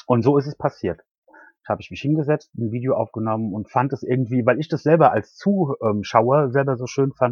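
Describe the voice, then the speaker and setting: A man speaks at a fairly quick pace and medium pitch, somewhat breathy. The sound is dry and close with no echo, over a quiet background. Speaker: knitting YouTuber. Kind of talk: casual interview. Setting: in car on a hill, later phone. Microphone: quiet and poor connection, later phone.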